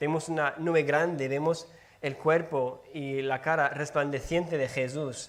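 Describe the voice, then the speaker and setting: In audible room echo, a man with a fairly high pitch speaks at a fairly slow pace with fairly even intonation. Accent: English. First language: English (speaking Spanish). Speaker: preacher. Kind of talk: sermon. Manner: halting, with stumbles and repeated words.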